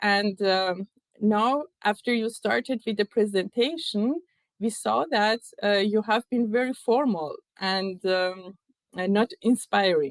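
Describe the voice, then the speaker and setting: Speaking at a very slow pace, a woman with a non-native accent uses ordinary pitch variation. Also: medium pitch for a woman. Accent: non-native speaker. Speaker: keynote speaker at tech event. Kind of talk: keynote talk. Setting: virtual event. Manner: hesitant, many fillers.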